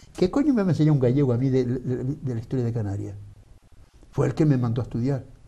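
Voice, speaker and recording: A very fast, somewhat breathy male voice with a dark, mellow tone and ordinary pitch variation. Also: medium pitch for a man. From Canary Islands (Gran Canaria). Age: 70s. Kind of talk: debate interview. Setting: TV studio. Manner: animated.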